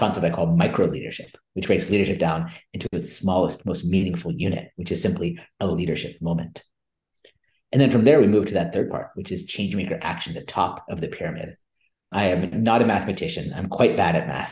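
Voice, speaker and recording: A somewhat breathy man with an American accent, fairly low in pitch, lively in intonation. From US West Coast, California Bay Area. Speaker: business school lecturer and author. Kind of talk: interview.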